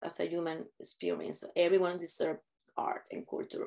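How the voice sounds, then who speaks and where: Here is a woman with a Spanish accent. She speaks at a moderate pace. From Puerto Rico. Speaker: theater director. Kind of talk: interview. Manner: halting.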